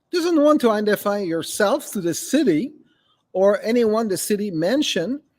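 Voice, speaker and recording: A high-pitched man talks at a moderate pace, with very wide pitch swings. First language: French. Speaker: local political commentator. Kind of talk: political commentary monologue. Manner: halting.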